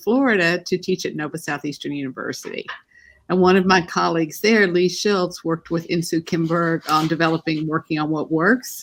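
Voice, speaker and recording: A woman with a Texas accent, fairly low pitch and ordinary pitch variation, on a very clean recording with a silent background. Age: old. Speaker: family therapist and university teacher. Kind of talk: casual interview chat.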